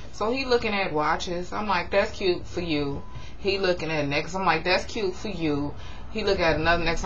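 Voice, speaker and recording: A woman with a fairly low voice talks at a fairly quick pace, with audible room echo and noticeable background noise. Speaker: YouTube reality TV recap vlogger. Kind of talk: casual TV recap vlog. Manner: fast; animated.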